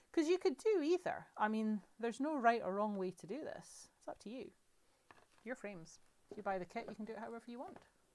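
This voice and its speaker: Speaking in a Scottish accent, a woman talks at a fairly quick pace in a fairly high voice. Her pitch swings very widely and her loudness swings a lot. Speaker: crafting demonstrator. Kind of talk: live crafting tutorial. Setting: livestream. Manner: chatty, conversational.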